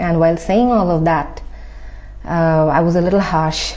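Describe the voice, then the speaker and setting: Delivered at a moderate pace with fairly even intonation, the speech carries audible room echo. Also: woman. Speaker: spiritual content creator. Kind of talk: personal testimony. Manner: soft-spoken; halting, many fillers.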